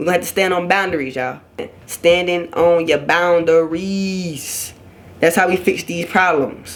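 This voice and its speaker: The speaker keeps a moderate pace. Noticeable background noise runs under the voice. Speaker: YouTuber giving relationship advice. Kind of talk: casual vlog monologue. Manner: loud when passionate; animated.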